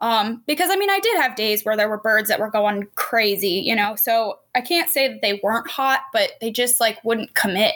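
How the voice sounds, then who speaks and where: This woman's voice is fairly high. Her tone is bright and sharp. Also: ordinary pitch variation, moderate pace. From Pennsylvania. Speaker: hunter and outdoor filmmaker. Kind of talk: casual chat.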